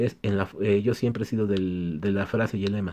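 The man's tone is dark and mellow. He has a fairly low pitch. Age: 30s. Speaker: electronics repair technician, YouTuber; YouTuber. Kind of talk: casual Q&A vlog. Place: workshop.

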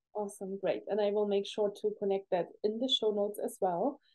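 A woman's moderate-paced speech comes over a quiet background. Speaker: podcast host. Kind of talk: interview. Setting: video call. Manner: enthusiastic. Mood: warm, enthusiastic. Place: home room. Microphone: studio mic.

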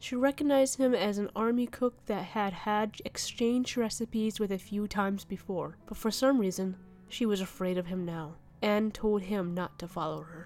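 Someone speaks at a moderate pace with ordinary pitch variation, with music in the background. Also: woman. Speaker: channel narrator. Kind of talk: storytelling narration.

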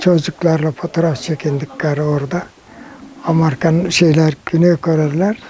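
Noticeable background noise beneath a man's high voice. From Bucak, Burdur, Turkey. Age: 80s+. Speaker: Korean War veteran. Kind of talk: interview answer.

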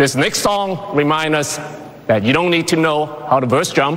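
Fairly slow delivery with ordinary pitch variation and light background noise. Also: man. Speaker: award presenter, action star. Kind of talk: award ceremony presentation speech. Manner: humorous, rousing. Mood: poised, lightly humorous. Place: stage.

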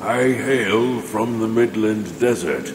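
A man does a put-on character voice at a very slow pace, with slight echo and loud background noise. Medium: dub.

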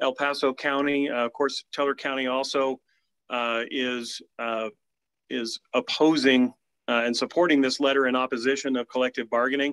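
Over a quiet background, the speech moves at a moderate pace with a monotone, flat intonation. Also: man. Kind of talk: formal meeting statement. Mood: measured, persuasive. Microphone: video call.

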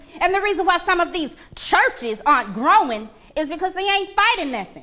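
A woman speaks loudly in an animated tone at an extremely high pitch. Her pitch swings very widely at a moderate pace. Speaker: pastor. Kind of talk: sermon, fiery preaching in full flow. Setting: church. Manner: loud, animated, impassioned. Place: church. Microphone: podium.

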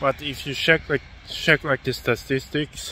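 A man speaks at a fairly slow pace with monotone, flat intonation. The sound is dry with no echo, though noticeable background noise is present. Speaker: sports vlogger. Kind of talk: casual vlog chat. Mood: critical opinion rant. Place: street. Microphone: phone near.

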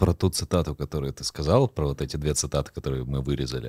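In a dry recording with no echo and a quiet background, a man talks at a very deep, low pitch with vocal fry. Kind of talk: casual chat. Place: studio. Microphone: studio mic.

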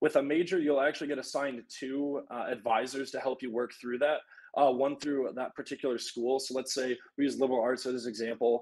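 A man with an American accent talks at a very fast pace and a medium pitch. His intonation stays fairly even, and the background is quiet. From Michigan, Traverse City; Michigan. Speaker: university student; panelist. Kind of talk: live Q&A panel. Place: home room. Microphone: video call.

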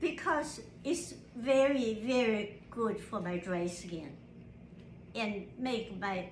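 A woman's fairly high-pitched voice at a very slow pace, with audible room echo and light background noise. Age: 80s+. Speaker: mother reviewing a skincare product. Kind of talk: casual talk to camera. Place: home room. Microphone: phone near.

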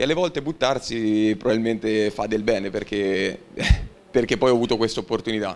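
With a plain, everyday voice, a man speaks at a fairly quick pace and medium pitch, with ordinary pitch variation. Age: 20s. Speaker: university student and young professional; guest. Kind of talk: talk to school assembly. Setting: school assembly hall with audience. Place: hall. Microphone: handheld.

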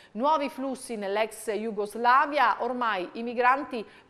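A woman is speaking. Her tone is bright and sharp. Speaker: TV presenter reading the press review. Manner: measured, even-paced and formal, with small hesitations ('eh') between headline clauses.

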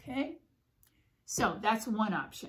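A woman speaking at a fairly slow pace over light background noise. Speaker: puppet craft teacher. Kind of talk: tutorial. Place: home room. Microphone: phone near.

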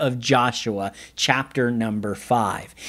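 A man speaks against a quiet background. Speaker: pastor. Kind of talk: sermon. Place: studio.

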